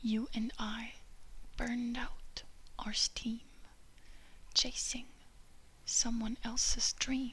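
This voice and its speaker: At a very slow pace, a soft-spoken whispering voice stretches out with long, frequent pauses. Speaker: ASMR creator. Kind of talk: ASMR lyrics reading for sleep. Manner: soft-spoken, whispered.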